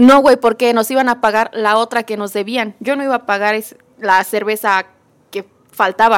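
Speaking at a moderate pace with a Mexican accent, a woman uses a fairly high pitch and fairly even intonation, with a dry, close sound and no echo. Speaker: podcast co-host. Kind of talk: casual chat.

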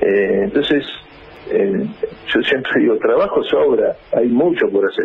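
Against noticeable background noise, a man talks at a very slow pace with very even loudness. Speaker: social movement leader. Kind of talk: radio interview.

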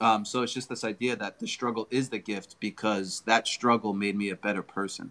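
A man's plain, everyday voice at medium pitch with fairly even intonation, on a very clean recording with a silent background. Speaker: filmmaker, comedian, guest. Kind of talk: casual interview chat.

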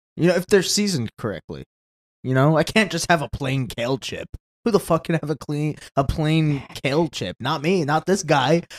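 At a moderate pace, a man talks in a normal speaking voice with a fairly high pitch and ordinary pitch variation. The sound is dry and close, with no echo. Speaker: podcast co-host. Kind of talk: casual banter podcast. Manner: jokey, playful.

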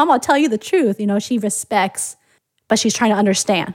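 A woman's fairly high voice with an American accent, fairly quick in pace, with ordinary pitch variation. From United States. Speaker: podcast co-host. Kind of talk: casual chat.

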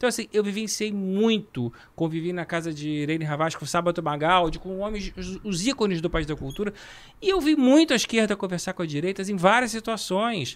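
Over a very clean recording and silent background, a man with a high pitch speaks with lively intonation. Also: fairly quick pace. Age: 50s. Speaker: talent agent. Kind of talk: casual chat.

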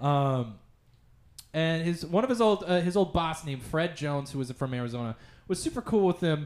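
An unremarkable speaking voice from a man with an American accent, fairly high in pitch, fairly quick, with lively intonation. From US Midwest, Olathe, Kansas. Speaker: podcast guest. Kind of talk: casual chat.

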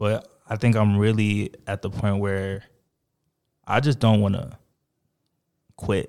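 A man at a very slow pace and fairly low pitch, with fairly even intonation and long, frequent pauses, in a very clean recording with a silent background. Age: 20s. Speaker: fashion brand founder. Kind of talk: casual interview.

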